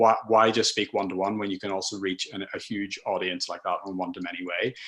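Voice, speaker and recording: This man talks very fast in a flat, monotone way. His voice is fairly low, with a Northern Irish accent. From Northern Ireland. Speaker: content marketer. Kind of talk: webinar presentation. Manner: halting, many fillers and restarts.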